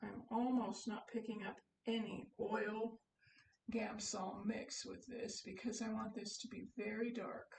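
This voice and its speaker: A woman speaks in a somewhat breathy voice at a fairly slow pace. Her intonation is monotone and flat. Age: 70s. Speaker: hobby painter. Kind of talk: painting demonstration. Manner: casual, hesitant.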